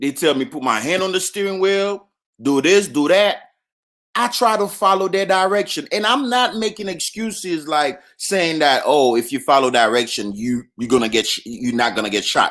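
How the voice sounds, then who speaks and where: The pitch swings very widely and the delivery is loud. The recording is very clean, with a silent background. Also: man, high pitch for a man, moderate pace. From US South, Alabama. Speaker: livestream host, military veteran. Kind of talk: casual livestream monologue.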